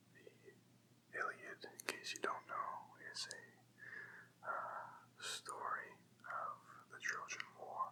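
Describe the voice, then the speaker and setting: Whispering and soft-spoken, a man talks at a very slow pace. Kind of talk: casual intro to listener. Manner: whispered, soft-spoken.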